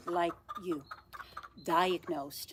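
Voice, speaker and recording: Woman with a Dutch accent amid noticeable background noise. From Netherlands. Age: 60s. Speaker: nurse. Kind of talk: casual chat.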